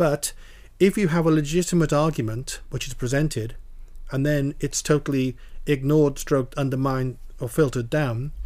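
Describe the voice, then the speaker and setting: Talking at a moderate pace, a man with an unremarkable speaking voice and fairly high pitch keeps his intonation fairly even. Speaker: podcast host. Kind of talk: casual interview chat.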